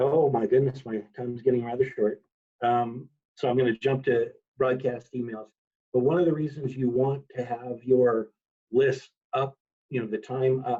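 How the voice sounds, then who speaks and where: The delivery is monotone, with flat intonation and a moderate pace. The background is quiet. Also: man. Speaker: 4-H software trainer. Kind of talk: training webinar. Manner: loud. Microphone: video call.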